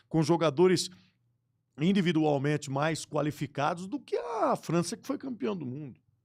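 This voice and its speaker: With a plain, everyday voice, a man speaks at a moderate pace and a fairly high pitch, using lively intonation and big swings in loudness. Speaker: sports radio broadcaster. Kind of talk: podcast interview answer. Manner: casual, conversational.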